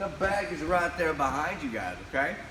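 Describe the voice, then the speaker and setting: A man speaks in a high pitch with ordinary pitch variation. There is audible room echo along with noticeable background noise. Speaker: martial arts instructor. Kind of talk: class tutorial. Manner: fast.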